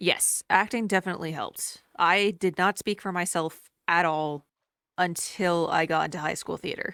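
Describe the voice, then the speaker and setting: A woman with a fairly low pitch, a bright, sharp tone, and fairly even intonation at a moderate pace, in a dry, close sound with no echo. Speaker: YouTube video creator and artist. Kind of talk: casual chat. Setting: video call.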